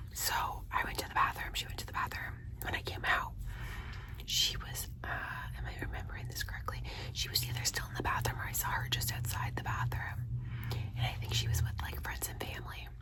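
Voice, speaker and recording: A fairly quick whisper comes through noticeable background noise. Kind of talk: ASMR whisper ramble. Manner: whispered.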